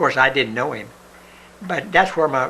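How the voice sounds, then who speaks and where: A man talks very fast, his pitch varying in an ordinary way, with noticeable background noise around him. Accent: Appalachian. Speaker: son of a Confederate veteran. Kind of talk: interview answer, reminiscing.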